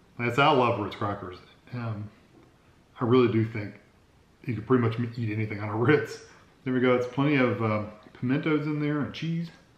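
A fairly quick delivery with audible room echo. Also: man, ordinary pitch variation. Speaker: food reviewer. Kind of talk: casual taste-test vlog chat. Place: home room. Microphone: phone near.

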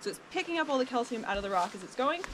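Light background noise sits under a woman's speech. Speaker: cave tour guide. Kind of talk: guided tour explanation. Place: forest. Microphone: camera far.

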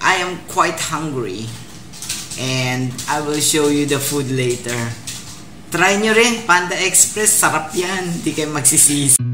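The speech comes at a very slow pace. Clear music plays in the background. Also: woman, very deep, low pitch for a woman. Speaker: vlogger. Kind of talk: casual vlog chat. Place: home room. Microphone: phone near.

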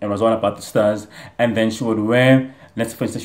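A man speaks at a very fast pace. His intonation stays fairly even. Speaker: reaction vlogger. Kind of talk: casual vlog chat. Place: home room. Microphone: earbuds.

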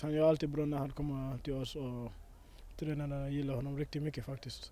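A man talks at a fairly quick pace with a fairly high pitch and a dark, mellow tone. His intonation stays fairly even, and the sound is dry with no echo. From Sweden. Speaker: footballer. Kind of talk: interview. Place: waterside. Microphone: handheld.

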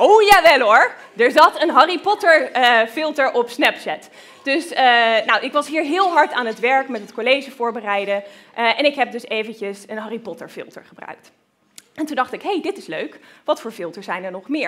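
Very wide pitch swings and big swings in loudness mark this woman's high-pitched, animated tone. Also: moderate pace. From Groningen, northern Netherlands. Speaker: researcher. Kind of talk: lecture for children. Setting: lecture hall with audience. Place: hall. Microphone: headset.

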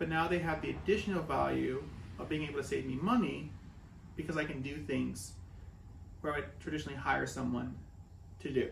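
A man speaks with audible room echo. Light background noise sits underneath. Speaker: woodworking YouTuber. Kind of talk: casual vlog-style review. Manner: casual, unscripted. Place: workshop. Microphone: camera far.

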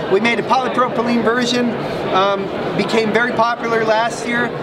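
A man talks at a moderate pace with loud background noise all around. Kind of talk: interview answer. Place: hall.

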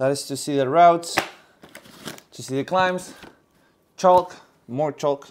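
A man speaks fairly slowly with ordinary pitch variation amid noticeable background noise. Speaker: vlogger. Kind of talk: casual vlog chat. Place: kitchen.

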